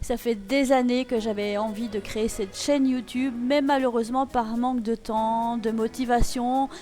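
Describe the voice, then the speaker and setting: At a fairly slow pace, a woman speaks in a high voice with a slight Belgian accent. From Belgium. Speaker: YouTube talk show host. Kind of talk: channel introduction monologue. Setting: studio set. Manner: enthusiastic.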